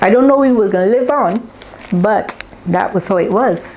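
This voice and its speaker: Over noticeable background noise, a woman speaks with a Barbadian accent. Her pace is moderate and her intonation lively. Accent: Barbadian (Bajan). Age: 70s. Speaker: interviewee, elder recalling history. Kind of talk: interview testimony.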